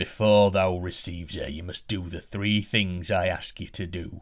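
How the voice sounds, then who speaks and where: A man puts on a character voice, very deep and low in pitch with a rumbling sound. He speaks at a moderate pace. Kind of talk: archaic, formal. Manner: angry, rumbling.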